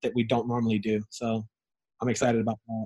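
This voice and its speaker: A man with an American accent talks at a very fast pace and a medium pitch. His intonation is monotone and flat, and the sound is dry and close with no echo. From Southern California (Ontario). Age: 30s. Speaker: real estate entrepreneur.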